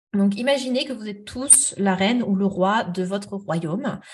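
A woman with a fairly high pitch and ordinary pitch variation sounds somewhat breathy. The background is quiet. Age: 30s. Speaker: therapist. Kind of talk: interview.

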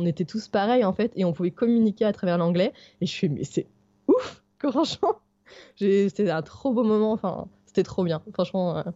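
A woman with a normal speaking voice at a medium pitch and moderate pace. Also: ordinary pitch variation. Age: 30s. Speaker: backpacking traveller with her dog. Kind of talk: interview, casual chat.

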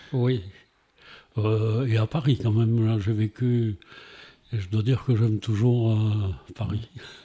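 Very slow with long, frequent pauses, a man speaks at a medium pitch in a somewhat breathy, dark, mellow voice with monotone, flat intonation. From Montpellier, southern France. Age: 70s. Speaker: retired former mayor. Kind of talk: interview. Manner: halting.

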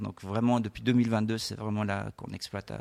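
A man with a fairly low pitch speaks at a fairly quick pace in a monotone, flat intonation. The sound is dry and close, with no echo. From French-speaking Switzerland (Lausanne). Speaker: winery owner and tech entrepreneur. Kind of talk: radio interview. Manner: hesitant, many fillers.

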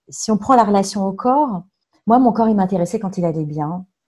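A woman's voice with a dark, mellow tone and medium pitch. She speaks at a moderate pace, somewhat breathy, with lively intonation. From France, Touraine (Tours). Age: 40s. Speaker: coaching client. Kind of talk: testimony. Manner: halting.

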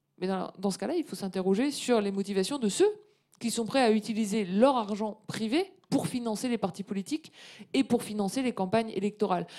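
A woman's fairly high voice with a dark, mellow tone, ordinary pitch variation and a fairly quick pace. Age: 30s. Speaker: economist and professor. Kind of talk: interview on a live webcast.

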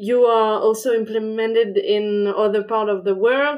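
In a French accent, a woman speaks with a fairly high pitch. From France. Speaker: podcast host, legal innovation consultant. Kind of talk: interview.

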